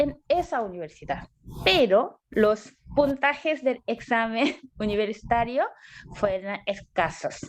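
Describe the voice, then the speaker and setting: A woman with a Korean accent, high pitch, very wide pitch swings and a very slow pace. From South Korea. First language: Korean (speaking Spanish). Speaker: graduate student. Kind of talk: interview.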